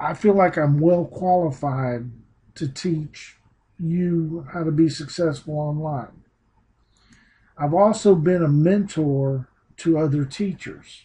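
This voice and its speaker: Man with a Southern US accent, a fairly high pitch and a dark, mellow tone, ordinary pitch variation, a very slow pace and long, frequent pauses. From US South. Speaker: teacher turned online marketing trainer. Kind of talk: online training presentation. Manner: casual, unpolished.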